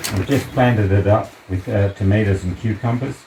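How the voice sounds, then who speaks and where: A man keeps fairly even intonation while noticeable noise rises behind him. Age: 70s. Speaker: potter and community member giving a home tour. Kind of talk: casual home tour. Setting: at home and in garden. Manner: halting, with many fillers.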